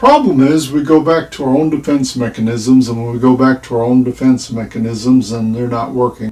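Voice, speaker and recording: A man with an ordinary speaking voice talks at a moderate pace in a medium pitch, with ordinary pitch variation. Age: 60s. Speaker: retired rideshare driver and vlogger. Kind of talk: casual storytelling monologue. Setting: livestream.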